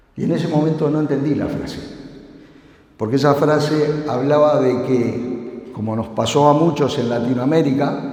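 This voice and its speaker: The speech moves at a moderate pace with fairly even intonation. Noticeable background noise and audible room echo are present. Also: man, fairly high pitch for a man. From Uruguay. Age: 60s. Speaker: security conference speaker. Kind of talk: conference talk. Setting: stage with audience.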